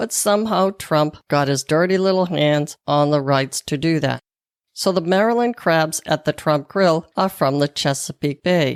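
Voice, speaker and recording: A woman's very deep, low voice with an American accent, fairly slow pace, very even loudness and ordinary pitch variation, dry and close with no echo, on a very clean recording with a silent background. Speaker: podcast host, nutritionist and wellness coach. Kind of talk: promotional plug; solo podcast review.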